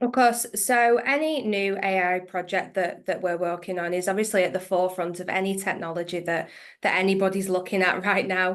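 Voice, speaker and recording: In an English accent, a woman talks at a fairly quick pace with hardly any pauses. Her voice sits at a medium pitch with ordinary variation. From northwest England. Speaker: accounts payable manager. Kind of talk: interview.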